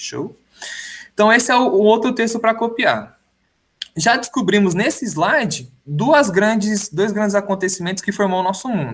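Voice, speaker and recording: A man's high-pitched voice at a moderate pace. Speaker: high school history teacher. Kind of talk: recorded lecture. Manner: casual, conversational.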